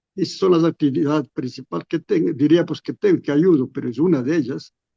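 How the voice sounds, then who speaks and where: Here a man speaks in a dark, mellow tone. The sound is dry and close, with no echo. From Ecuador, Latacunga. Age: 80s+. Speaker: retired bishop. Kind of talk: radio interview. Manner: halting, with repetitions.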